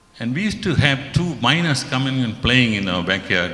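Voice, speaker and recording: Audible room echo on a man's voice. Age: 70s. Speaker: devotee sharing an experience. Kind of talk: testimony.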